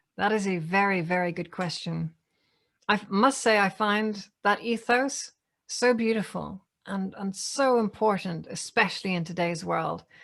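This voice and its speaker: In a very clean recording with a silent background, a woman with a Northern Irish accent talks at a fairly slow pace with ordinary pitch variation. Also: medium pitch for a woman. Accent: Northern Irish, noticeable. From Northern Ireland. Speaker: AI ethics speaker. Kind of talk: Q&A answer.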